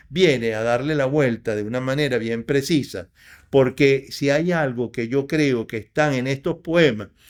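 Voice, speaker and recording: Over a very clean recording with a silent background, a man talks at a fairly slow pace with a medium pitch and ordinary pitch variation. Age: 60s. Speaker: poet. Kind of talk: interview. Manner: halting.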